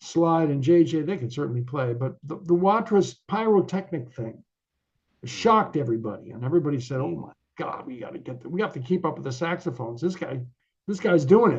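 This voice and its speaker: A somewhat breathy, fairly quick delivery in an American accent, with big swings in loudness. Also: man. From Connecticut, US. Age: 60s. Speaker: jazz musician and professor. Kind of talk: interview. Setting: video call.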